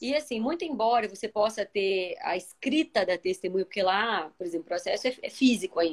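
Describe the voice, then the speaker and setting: A woman talks at a fairly quick pace with hardly any pauses, her pitch swinging very widely. The sound is dry and close, with no echo. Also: fairly high pitch for a woman. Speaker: labor judge. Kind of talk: live video discussion. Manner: fast.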